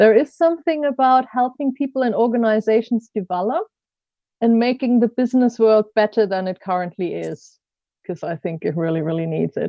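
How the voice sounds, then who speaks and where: Her fairly high voice moves at a fairly quick pace with lively intonation. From Germany. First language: German. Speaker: coach and learning consultant. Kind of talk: podcast interview.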